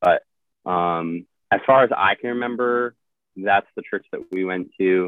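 A man talks at a fairly slow pace and fairly low pitch, with ordinary pitch variation. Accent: Midwestern American. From US Midwest, central Illinois. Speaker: Coast Guard rescue swimmer. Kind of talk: casual interview.

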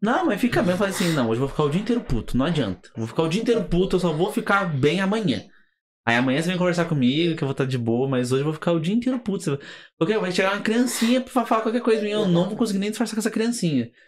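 In a very clean recording with a silent background, the speaker talks at a very fast pace with very wide pitch swings. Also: man, high pitch for a man. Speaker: podcast host. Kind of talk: casual chat.

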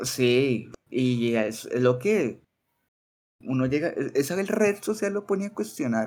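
Pausing long and often, a man speaks at a very slow pace in a medium pitch with very wide pitch swings. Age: 20s. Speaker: teacher. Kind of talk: casual chat.

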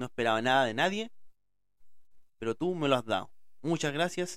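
A man with a Chilean accent speaks at a moderate pace on a very clean recording with a silent background. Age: 30s. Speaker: podcaster. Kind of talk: casual monologue. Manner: informal, self-described as speaking badly.

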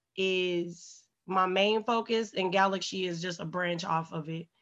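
Against a quiet background, a woman speaks very slowly in a bright, sharp tone. Her pitch varies in an ordinary way. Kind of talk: casual chat.

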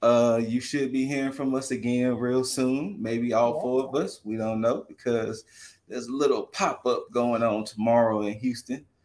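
A man with a plain, everyday voice, an American accent, a medium pitch, fairly even intonation and a moderate pace. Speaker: podcast co-host. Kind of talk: casual chat.

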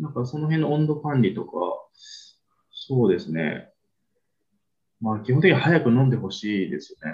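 The speaker moves at a moderate pace with long, frequent pauses. Pitch swings very widely and loudness swings a lot. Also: man, medium pitch for a man. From Spain (Barcelona). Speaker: restaurant owner and sake promoter. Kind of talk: casual interview.

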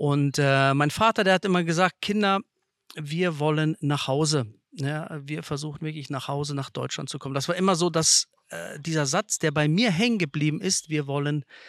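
The recording is very clean, with a silent background and a dry, close sound with no echo. A man talks at a moderate pace in a fairly high pitch with ordinary pitch variation. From Kazakhstan, Russian-German family, Germany from age seven. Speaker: site manager, interview guest. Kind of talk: casual interview. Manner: halting, many fillers.

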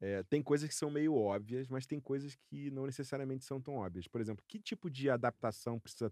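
A man with a dark, mellow tone speaks with lively intonation in a dry, close recording with no echo. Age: 40s. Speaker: podcast co-host. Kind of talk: casual chat.

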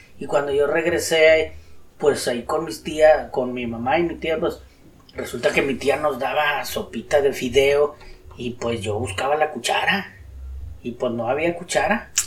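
This man's voice sits fairly high, with ordinary pitch variation. He speaks at a fairly slow pace. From Mexico, Nuevo León (Guadalupe). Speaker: host's father telling his life story. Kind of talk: life-story interview.

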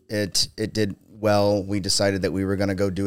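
In a very clean recording with a silent background, a man with a fairly low pitch speaks at a moderate pace in a normal speaking voice. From Ohio. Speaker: entrepreneur and concrete company owner. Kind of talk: casual chat.

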